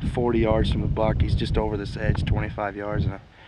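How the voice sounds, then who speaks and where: A man speaks with a dry sound and no echo. Loud background noise is present. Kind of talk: hushed field commentary during a hunt. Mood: rueful about bad luck. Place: open country.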